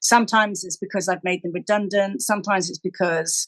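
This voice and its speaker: The speaker has a British accent and talks at a fairly quick pace with ordinary pitch variation. The sound is dry and close, with no echo. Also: woman. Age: 60s. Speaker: charity chief executive and podcast co-host. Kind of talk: casual chat.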